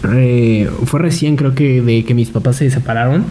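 A man speaks fairly slowly at a fairly high pitch with ordinary variation. Noticeable background noise runs behind him. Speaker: podcast co-host. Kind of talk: casual chat.

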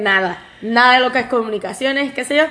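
A woman's high-pitched voice, with ordinary pitch variation, comes through noticeable background noise. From Puerto Rico. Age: 30s. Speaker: podcast co-host, pastry cook. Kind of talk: casual chat.

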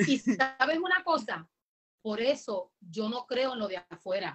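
A woman's high voice at a very slow pace, with very wide pitch swings, long and frequent pauses, and music in the background. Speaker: evangelist. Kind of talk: interview testimony. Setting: video call. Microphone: connection freezing.

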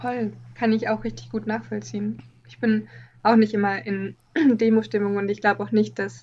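A quiet woman's voice at a moderate pace. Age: 20s. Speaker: artist. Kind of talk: casual interview. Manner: calm, quiet.

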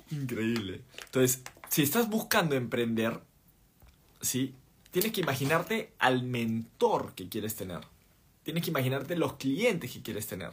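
A man's somewhat breathy, medium-pitched voice in an animated tone, with very wide pitch swings, big swings in loudness, a fairly slow pace and long, frequent pauses. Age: 30s. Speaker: podcast host and entrepreneur. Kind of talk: livestream talk. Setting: live stream.

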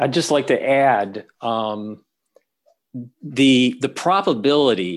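A man speaks very slowly at a medium pitch, with lively intonation. He leaves long, frequent pauses. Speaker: researcher and academic. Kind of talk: interview.

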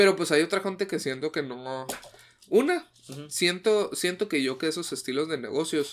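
With music in the background, a man with a Mexican accent speaks at a moderate pace in a fairly high voice with ordinary pitch variation. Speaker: podcast co-host. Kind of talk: casual chat.

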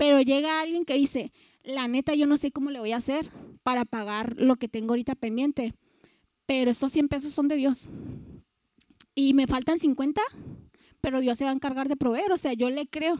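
A woman with a Mexican accent speaks at a high pitch in an animated tone at a moderate pace. She leaves long, frequent pauses, and the sound is dry and close with no echo. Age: 20s. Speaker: youth speaker. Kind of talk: sermon.

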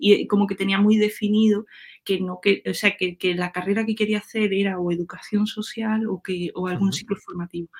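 A somewhat breathy woman's voice at medium pitch, moderate pace and fairly even intonation. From Andalusia, Córdoba countryside. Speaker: web developer. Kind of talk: casual interview chat.

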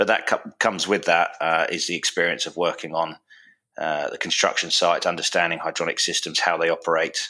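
Talking at a very fast pace, a man speaks with a southern English accent. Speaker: product manufacturer, former navy engineer. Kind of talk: podcast interview.

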